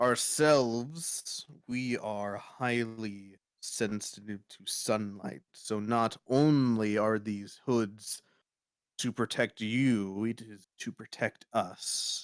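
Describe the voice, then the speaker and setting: Using a put-on character voice at a medium pitch, a man speaks at a very slow pace in a very clean recording with a silent background. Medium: actual play. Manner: cryptic, ominous.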